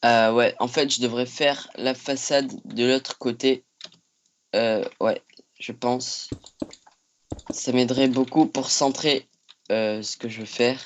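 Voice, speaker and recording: Long, frequent pauses break up speech that is very slow throughout. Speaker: Minecraft YouTuber. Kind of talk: tutorial. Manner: hesitant, many fillers.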